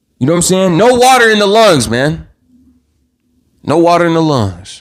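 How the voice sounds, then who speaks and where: The speaker is shouting, loud and animated in tone, at a moderate pace. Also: man. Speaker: true crime YouTuber. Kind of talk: live stream commentary. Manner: loud, yelling; animated, repetitive stammering.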